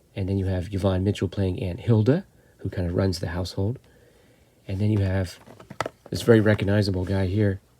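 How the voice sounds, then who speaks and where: A man's fairly low, dark, mellow voice, somewhat breathy, monotone and flat, at a fairly quick pace. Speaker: horror film reviewer. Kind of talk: film review monologue. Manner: casual, hesitant with fillers.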